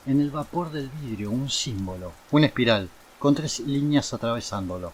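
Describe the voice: The voice is plain reading aloud. Its intonation is lively.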